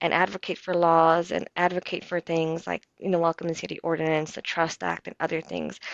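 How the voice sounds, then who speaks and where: In a normal speaking voice, a woman with an American accent talks at a moderate pace and a fairly low pitch. The sound is dry and close with no echo, over a quiet background. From Chicago, north side. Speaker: community organizer. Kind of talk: interview.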